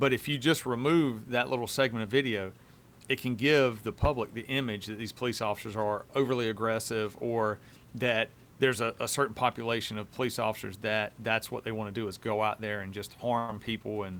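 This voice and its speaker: With a Southern US accent, a man talks at a fairly quick pace in a medium pitch, his intonation fairly even. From US South. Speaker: police officer, podcast host. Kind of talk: casual chat.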